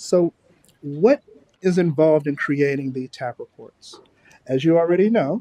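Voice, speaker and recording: A man's dark, mellow voice at fairly high pitch, with ordinary pitch variation and a moderate pace, in a dry, close sound with no echo. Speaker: public health trainer. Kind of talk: training lecture. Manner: casual, conversational.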